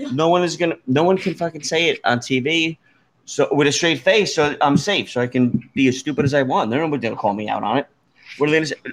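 Speech in an American accent rushes by at a very fast pace. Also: man. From New Jersey. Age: 50s. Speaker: podcast host. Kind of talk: casual chat.

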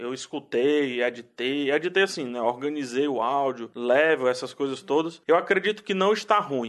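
Lively intonation marks this man's speech, delivered at a moderate pace. Behind him, the background stays quiet. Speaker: podcast host.

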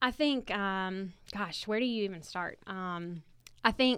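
Someone with a Southern US accent speaks at a very slow pace on a very clean recording with a silent background. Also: woman. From Alabama (Montgomery). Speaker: speech-language pathologist, teacher. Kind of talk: interview.

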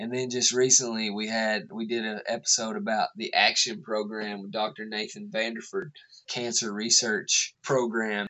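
A man with an Appalachian accent at a medium pitch, with ordinary pitch variation, a moderate pace and hardly any pauses. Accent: Appalachian Southern US. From Eastern Kentucky, Appalachia. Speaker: podcast co-host. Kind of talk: casual chat.

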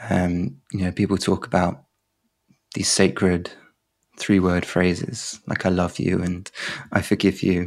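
With a southern English accent, a man speaks fairly slowly in a very deep, low voice. His intonation is monotone and flat, broken by long, frequent pauses. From southern England. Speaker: poet. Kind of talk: interview conversation. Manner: halting.

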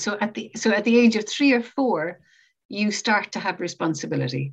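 Speaking with vocal fry, a woman holds a fairly high pitch. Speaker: podcast host.

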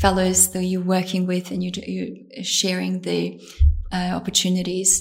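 Noticeable background noise and a woman at a fairly slow pace. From Bosnia. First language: Bosnian. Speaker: surgical trainee. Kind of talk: interview.

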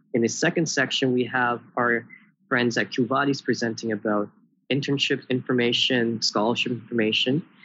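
At a moderate pace, a man talks in an ordinary speaking voice, his intonation fairly even and his loudness very even. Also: medium pitch for a man. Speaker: university student. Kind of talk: interview. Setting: video call.

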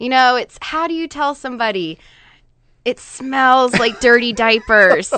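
A woman speaks at a high pitch with a bright, sharp tone. Her pace is fairly slow, and the background is quiet. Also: ordinary pitch variation. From Northern Virginia, US. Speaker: real estate agent. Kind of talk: radio interview.

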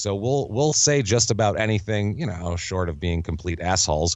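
A man with an American accent, very wide pitch swings and a moderate pace. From New York. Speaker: comedian and podcaster. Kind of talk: casual chat.

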